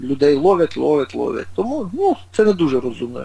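A man's moderately paced speech competes with noticeable background noise. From Ukraine, Dnipro. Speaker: retired long-distance runner. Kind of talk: interview. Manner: halting.

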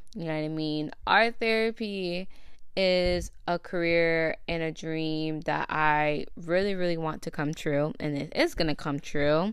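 A woman speaks in a plain, everyday voice, fairly low in pitch. Her pace is fairly slow, with ordinary pitch variation. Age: 20s. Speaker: podcast host. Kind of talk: casual monologue. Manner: filler-heavy.

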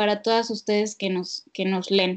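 A woman with a Mexican accent speaks with fairly even intonation. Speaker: psychologist. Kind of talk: casual chat. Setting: remote call.

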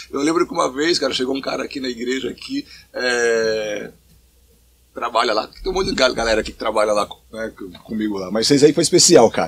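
A man with a medium pitch speaks at a fairly quick pace, with ordinary pitch variation and long, frequent pauses. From São Paulo state, Brazil (São Bernardo do Campo). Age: 40s. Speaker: pastor. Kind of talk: casual interview.

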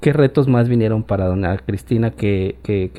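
Speech moves at a moderate pace. A dark, mellow tone colors it. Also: man. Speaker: podcast host. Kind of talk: interview.

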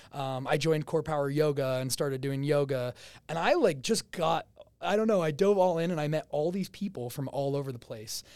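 At a fairly quick pace, a man with an American accent talks in a fairly high pitch with ordinary pitch variation. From New Jersey. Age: 20s. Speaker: real estate agent. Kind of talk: casual interview. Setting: studio. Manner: loud.

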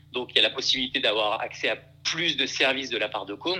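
A man speaks with a bright, sharp tone. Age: 20s. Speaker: startup founder and CEO. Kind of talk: casual interview. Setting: remote recording. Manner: halting, many repetitions and fillers.

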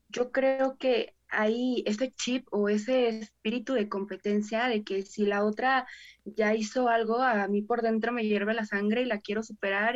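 A woman with a plain, everyday voice talks at a fairly slow pace and fairly high pitch. Her intonation is fairly even, and the background is quiet. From Mexico, Salamanca, Guanajuato. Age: 20s. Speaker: preschool teacher. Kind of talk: casual chat.

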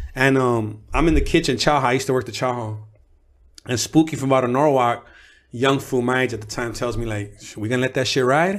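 A normal speaking voice with ordinary pitch variation, moving at a fairly quick pace. The recording is very clean, with a silent background. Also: man, medium pitch for a man. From Los Angeles area (Pico Rivera). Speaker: rapper, formerly incarcerated. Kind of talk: interview, casual chat.

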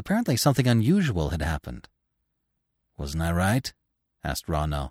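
A man at a fairly quick pace with very wide pitch swings, on a very clean, dry, close recording with a silent background and no echo. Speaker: audiobook narrator and podcast host. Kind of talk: literary audiobook reading, narrating a forest tale with dialogue voiced for the animals. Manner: steady, storyteller's pacing with suspense building as the animals listen; expressive, shifts tone between characters' quoted lines and narration.

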